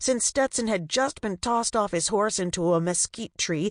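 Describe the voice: Someone is reading aloud. The reading is plain.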